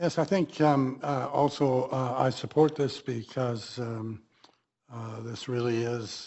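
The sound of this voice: At a slow pace, a man speaks with fairly even intonation and a slightly mellow tone.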